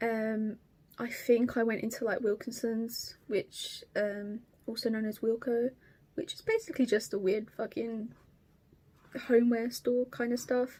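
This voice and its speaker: A woman with an Estuary accent speaks at a fairly slow pace in a fairly high pitch, with a dark, mellow tone and fairly even intonation. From southeast England, Kent. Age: 20s. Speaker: cross stitch vlogger. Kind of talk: casual vlog chat. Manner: hesitant.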